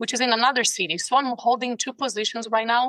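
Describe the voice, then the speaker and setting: Bright and sharp in tone, a woman with a Brazilian Portuguese accent speaks in a dry, close sound with no echo. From Brazil, São Paulo. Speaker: ICU nurse and case manager. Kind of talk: interview. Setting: video call. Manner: passionate.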